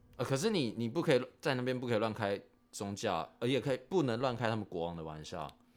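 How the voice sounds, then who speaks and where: Talking at a very fast pace, a man of medium pitch keeps his intonation lively. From Taiwan. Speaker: expatriate factory worker. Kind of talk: casual chat.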